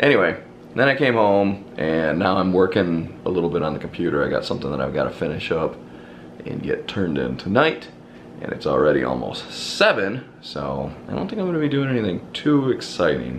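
With light background noise behind him, a man with a very deep, low pitch speaks at a fairly quick pace. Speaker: vlogger. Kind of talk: casual vlog chat. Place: home room. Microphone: phone near.

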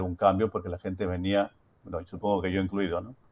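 A man with a Rioplatense accent speaks in a fairly low voice. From Argentina. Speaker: social worker and anthropologist; reader taking part in a debate. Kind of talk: panel debate. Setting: video call from Hungary. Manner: halting, hesitant. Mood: reflective, personal. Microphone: earbuds.

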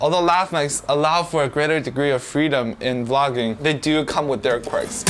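Fairly quick male speech with ordinary pitch movement. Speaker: vlogger reviewing microphones. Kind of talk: casual tutorial talk to camera. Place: home room. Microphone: lapel.

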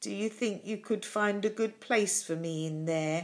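A female-sounding put-on character voice at a medium pitch, very cleanly recorded against a silent background. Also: moderate pace. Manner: wistful.

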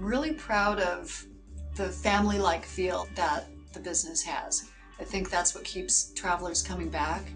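Faint music sits in the background as a woman speaks at a moderate pace. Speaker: hostel manager. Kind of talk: interview answer. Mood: warm, promotional, upbeat. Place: home room. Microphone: lapel.

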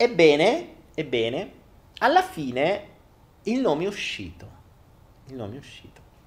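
Speech at a fairly slow pace with an animated tone, vocal fry, long, frequent pauses, very wide pitch swings and big swings in loudness. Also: man, fairly high pitch for a man. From Italy. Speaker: online content creator and entrepreneur. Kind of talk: live stream monologue. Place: home room. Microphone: handheld.

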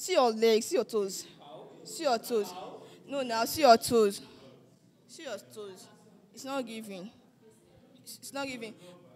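A woman at a fairly slow pace, with big swings in loudness, long and frequent pauses, ordinary pitch variation and light background noise. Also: fairly high pitch for a woman. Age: 20s. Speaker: dating show contestant. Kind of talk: casual chat. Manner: animated. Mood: teasing, blunt. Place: hall. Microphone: handheld.

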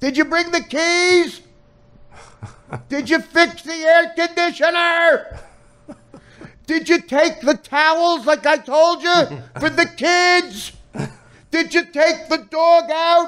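A shrill, put-on character voice creeps along at a very slow pace with long, frequent pauses. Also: man, extremely high pitch for a man. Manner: nagging, mocking, shrill.

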